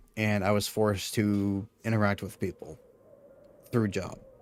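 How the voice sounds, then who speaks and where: A man speaks with music playing in the background. The sound is dry and close, with no echo. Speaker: gaming streamer. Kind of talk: casual live stream chat. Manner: halting, many fillers.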